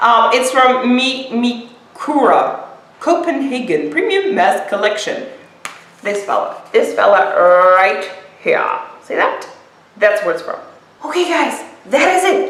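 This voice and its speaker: The speech comes at a fairly slow pace with long, frequent pauses and very wide pitch swings. Audible room echo and noticeable background noise surround it. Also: woman, high pitch for a woman. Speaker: beauty vlogger. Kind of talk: product unboxing. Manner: casual, chatty with fillers.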